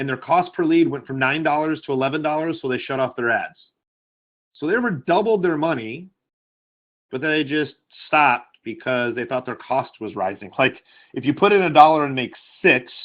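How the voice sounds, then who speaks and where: A man with a fairly high pitch uses lively intonation and takes long, frequent pauses. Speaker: online marketing coach. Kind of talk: webinar training call. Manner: fast.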